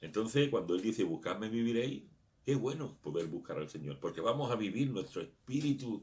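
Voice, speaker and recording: Very wide swings in pitch along with vocal fry. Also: man. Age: 60s. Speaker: pastor. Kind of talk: sermon.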